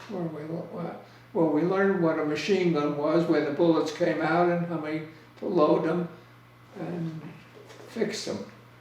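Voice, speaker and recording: With an American accent, a man at fairly high pitch talks at a moderate pace with fairly even intonation and long, frequent pauses, against noticeable background noise. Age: 80s+. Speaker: war veteran. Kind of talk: interview answer.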